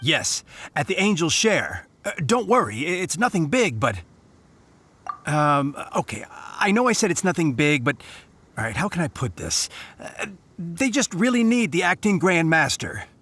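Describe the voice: A man uses a put-on character voice with a bright, sharp tone and a slightly husky edge. His pitch is fairly high, with big swings, at a moderate pace.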